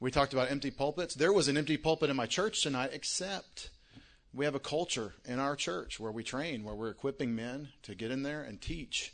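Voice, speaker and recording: A man with a Texan accent speaks at a fairly high pitch and a moderate pace. His pitch varies in an ordinary way over a quiet background. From Texas, Longview. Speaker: pastor. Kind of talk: speech at an event.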